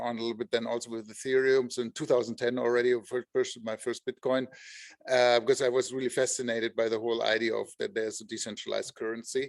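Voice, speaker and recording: The pace is very fast. The speaker talks with a German accent. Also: man. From Germany. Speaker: entrepreneur, company co-founder. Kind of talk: online panel discussion.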